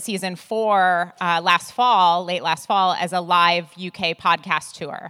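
With an American accent, a woman talks at a fairly slow pace in a medium-pitched, bright, sharp voice, her pitch varying in an ordinary way, the sound dry and close with no echo. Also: very clean recording, silent background. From US Midwest. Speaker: artist manager and podcaster. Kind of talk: live panel discussion. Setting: stage with audience.

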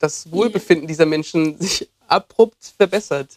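A man with a normal speaking voice, fairly high pitch and ordinary pitch variation, at a fairly slow pace in a dry, close sound with no echo. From southern Germany, Lake Constance. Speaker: doctor and former physiotherapist. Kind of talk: casual chat.

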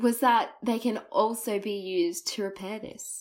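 A woman's fairly high voice in an Australian accent, fairly slow, in a very clean recording with a silent background. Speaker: podcast host. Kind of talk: scripted storytelling intro.

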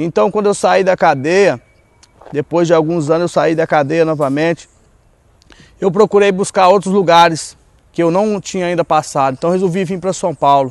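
At a moderate pace, a man talks in a high pitch with ordinary pitch variation and a dry, close sound with no echo. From Goiás, central-west Brazil. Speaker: former drug addict and ex-prisoner in a recovery ministry. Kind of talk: personal testimony.

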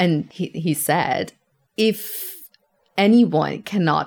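Speaking with a Persian accent, a woman's voice carries vocal fry. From Iran, Tehran. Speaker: immigrant interviewee. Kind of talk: casual interview.

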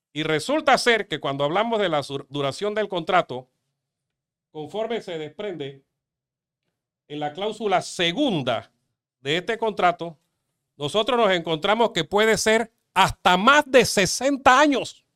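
A man with a high pitch, a bright, sharp tone and an animated delivery uses very wide pitch swings at a fairly slow pace, with long, frequent pauses. The recording is very clean and dry, close and free of echo, with a silent background. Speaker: lawyer. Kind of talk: interview.

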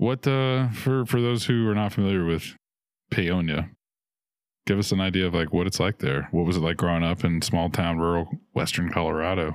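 In a very clean recording with a silent background, a man talks at a fairly quick pace in a very deep, low voice, with very even loudness and ordinary pitch variation. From New Orleans. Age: 30s. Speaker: podcast host. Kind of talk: casual chat.

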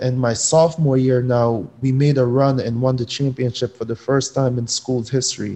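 Talking at a fairly quick pace, a man with an American accent has a medium pitch and a dark, mellow tone. His intonation is monotone and flat. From Jamaica until age eight, then Connecticut, US. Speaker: professional soccer player. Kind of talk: interview. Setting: video call. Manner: casual, filler-heavy.

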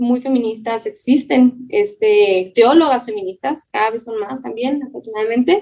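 This woman's voice is high-pitched with a dark, mellow tone. She speaks fairly slowly, with lively intonation. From Chihuahua, northern Mexico. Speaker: dermatologist and former pastor. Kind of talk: casual interview conversation.

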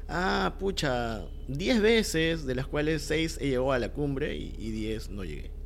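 Noticeable background noise accompanies a man who talks very slowly. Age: 30s. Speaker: commercial filmmaker. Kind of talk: casual chat.

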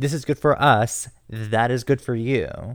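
Speaking at a fairly slow pace in an animated tone, a man at medium pitch shows ordinary pitch variation in a very clean recording with a silent background. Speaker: podcast host. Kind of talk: casual banter, podcast recap. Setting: live recording, podcast. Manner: animated, campy.

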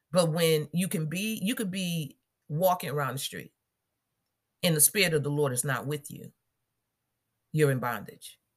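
Somewhat breathy speech in a warm tone, broken by long, frequent pauses. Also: woman, very deep, low pitch for a woman, lively intonation, moderate pace. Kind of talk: devotional Bible teaching and fervent prayer. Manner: fervent, commanding prayer; warm, casual, self-correcting, laughs.

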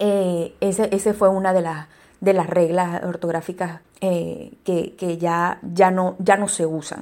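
Monotone, flat delivery from a woman at medium pitch and a very slow pace. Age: 40s. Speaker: podcast host, digital copywriter. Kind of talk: educational monologue. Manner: halting, many repetitions and fillers.

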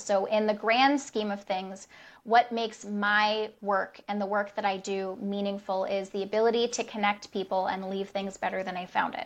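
A woman speaks in a flat monotone over a quiet background. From United States. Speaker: hospitality consultant. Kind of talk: interview conversation.

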